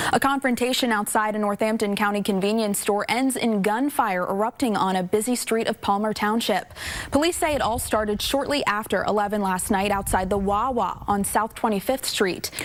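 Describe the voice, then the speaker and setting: Over noticeable background noise, a woman talks at a fairly quick pace in a fairly high pitch, with ordinary pitch variation, very even loudness and hardly any pauses. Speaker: TV news anchor and reporter. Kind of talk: TV news anchor read from the studio desk.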